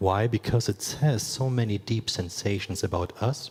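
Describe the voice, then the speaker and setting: A somewhat breathy man with a German accent and ordinary pitch variation. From Eastern Germany. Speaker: creative studio founder and former robot dancer. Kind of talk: conference talk.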